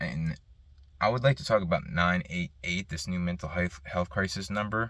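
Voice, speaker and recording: A man's voice is heard. It sits very deep and low. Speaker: mental health vlogger. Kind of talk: casual monologue. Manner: stutters, halting.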